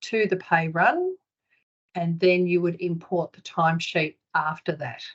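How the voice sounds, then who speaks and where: With fairly even intonation, a woman speaks at a fairly slow pace in an unremarkable speaking voice. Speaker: software consultant. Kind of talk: webinar presentation.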